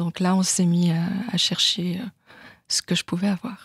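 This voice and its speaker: Speaking very slowly in a monotone, a woman with a medium pitch sounds dry and close, with no echo. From Switzerland, canton of Vaud. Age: 40s. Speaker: patient. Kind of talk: testimony. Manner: hesitant.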